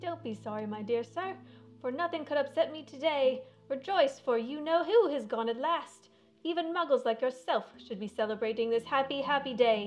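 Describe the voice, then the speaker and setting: This is a put-on character voice, squeaky and high-pitched. It moves at a moderate pace. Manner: joyful, exuberant.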